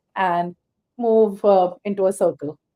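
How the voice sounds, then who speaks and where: Her tone is dark and mellow, set at a medium pitch. The woman speaks with monotone, flat intonation. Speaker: panel moderator. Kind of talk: panel discussion.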